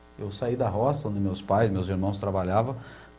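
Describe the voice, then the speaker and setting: A man speaks at a moderate pace with audible room echo. Music plays in the background. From Brazil, São Paulo state countryside. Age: 60s. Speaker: water utility head. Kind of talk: TV interview. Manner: hesitant, many fillers.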